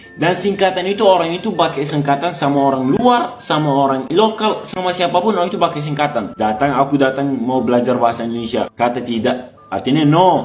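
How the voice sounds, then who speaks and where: A man with an Arabic accent, fairly high pitch, very wide pitch swings and an animated tone, hardly any pauses, with audible room echo and music in the background. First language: Arabic (speaking Indonesian). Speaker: foreign resident speaking about learning Indonesian. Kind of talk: casual vlog monologue.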